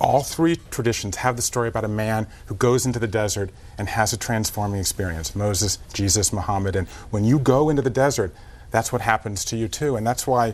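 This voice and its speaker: With an American accent, a man speaks fairly quickly in an unremarkable speaking voice at medium pitch, with ordinary pitch variation. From US South. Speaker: author and documentary host. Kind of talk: TV morning show interview.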